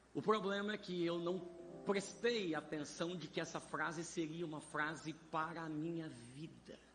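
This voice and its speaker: A man's high voice, fairly slow, with fairly even intonation and audible room echo. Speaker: pastor and preacher. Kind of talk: sermon. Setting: church vigil with congregation.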